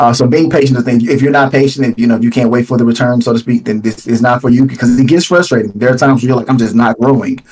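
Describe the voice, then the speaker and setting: Against noticeable background noise, a man rattles along at a very fast pace and medium pitch with hardly any pauses. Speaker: YouTube content creator. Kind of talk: casual chat. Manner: loud.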